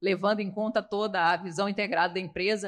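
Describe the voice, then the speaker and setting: A woman speaks with a Rio de Janeiro accent. Her intonation is fairly even. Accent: carioca. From Rio de Janeiro, Brazil. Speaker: finance executive, former CFO. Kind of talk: podcast interview.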